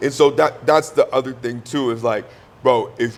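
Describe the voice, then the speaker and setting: A man is speaking. His pace is fairly slow. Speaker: podcast co-host. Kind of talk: casual chat. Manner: loud.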